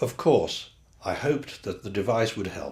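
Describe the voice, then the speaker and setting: Vocal fry runs through this voice, which moves at a moderate pace. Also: man. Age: 70s. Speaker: patient.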